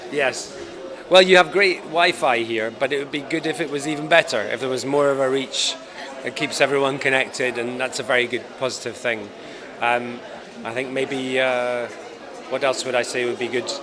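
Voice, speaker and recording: A man with a Scottish accent at a medium pitch, moderate pace and fairly even intonation, with crowd noise in the background and audible room echo. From Scotland. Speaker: film director. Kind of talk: interview. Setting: film festival event.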